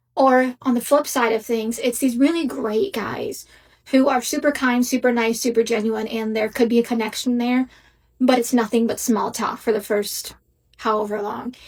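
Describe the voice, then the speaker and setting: A woman talks at a moderate pace with fairly even intonation. Her pitch is high. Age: 30s. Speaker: social media poster. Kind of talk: vlog rant.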